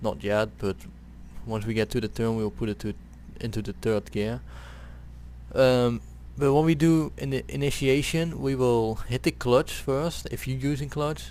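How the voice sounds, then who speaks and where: Long pauses, frequent ones, from a man speaking at a moderate tempo. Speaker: gaming video creator. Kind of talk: video game tutorial commentary. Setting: headset microphone. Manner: hesitant, casual.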